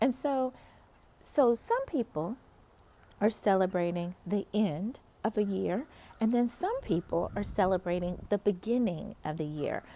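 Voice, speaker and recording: A woman talks at a fairly slow pace with lively intonation and a slight North Carolina accent. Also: medium pitch for a woman. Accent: slight Southern (North Carolina). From US South, North Carolina. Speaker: pastor. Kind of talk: encouraging devotional talk. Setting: outdoors in a park. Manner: casual, conversational.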